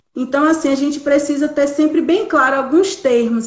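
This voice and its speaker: High in pitch, a woman speaks at a moderate pace. Audible room echo surrounds her voice. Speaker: psychologist. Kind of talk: live stream talk.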